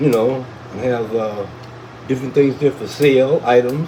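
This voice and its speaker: A man of medium pitch talks at a fairly slow pace against noticeable background noise. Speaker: cannabis livestreamer. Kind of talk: casual chat.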